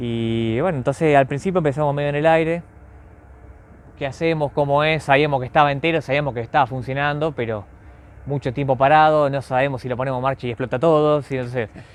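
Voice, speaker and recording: A man's fairly high pitch at a very fast pace, with fairly even intonation. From Argentina, Buenos Aires area. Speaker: railway club volunteer. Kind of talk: interview. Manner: halting.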